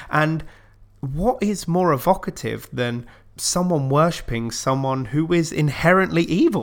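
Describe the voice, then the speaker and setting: With an unremarkable speaking voice, a man talks at a fairly slow pace, his pitch fairly high and his intonation lively. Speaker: podcast host. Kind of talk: casual chat.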